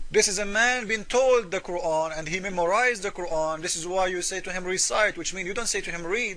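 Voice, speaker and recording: A man with an Arabic accent uses a raised, projected, high-pitched voice with ordinary pitch variation, talking at a fairly quick pace with hardly any pauses over noticeable background noise. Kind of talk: polemical commentary video.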